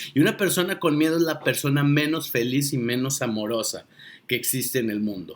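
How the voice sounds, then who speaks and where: A man speaks with a Mexican accent. His pace is fairly quick and his pitch swings very widely. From Mexico. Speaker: monologue speaker and coach. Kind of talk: sarcastic motivational monologue to camera. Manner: irreverent, emphatic, colloquial.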